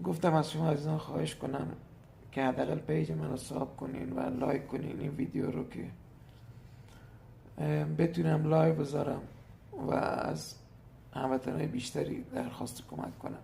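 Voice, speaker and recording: Audible room echo surrounds a man of medium pitch who speaks at a moderate pace with very wide pitch swings and long, frequent pauses. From Iran, Hormozgan province. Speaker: teacher. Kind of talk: appeal for help.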